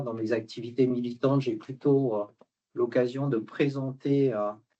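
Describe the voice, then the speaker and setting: This man talks at a moderate pace, his medium pitch carrying fairly even intonation. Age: 60s. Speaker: retired executive and immigration activist. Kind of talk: lecture. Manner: hesitant, many filler words.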